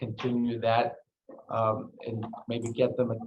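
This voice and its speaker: Somewhat breathy and monotone, a man with a Greek accent talks at a medium pitch with flat intonation. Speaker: meeting attendee. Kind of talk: public meeting discussion.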